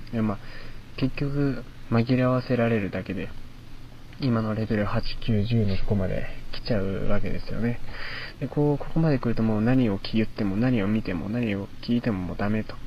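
A man speaks at a moderate pace with a medium pitch, a dark, mellow tone and ordinary pitch variation. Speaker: university student radio host. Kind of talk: solo talk. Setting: outdoors in a park at night.

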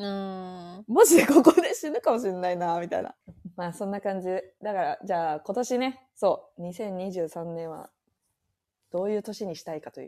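Speaking at a moderate pace, a woman has an unremarkable speaking voice of medium pitch. Her intonation is lively, with big swings in loudness. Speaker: podcast co-host. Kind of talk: casual chat.

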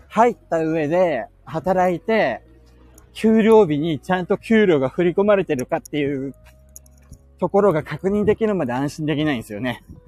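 Over music in the background, a man with a high pitch talks at a moderate pace with lively intonation. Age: 30s. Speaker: podcaster. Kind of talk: casual chat. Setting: outdoors.

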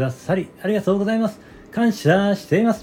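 Dark, mellow tone colors this man's voice. He keeps a moderate pace. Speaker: neurotherapist and audio-app show host. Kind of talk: solo casual talk broadcast. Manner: hesitant with many fillers.

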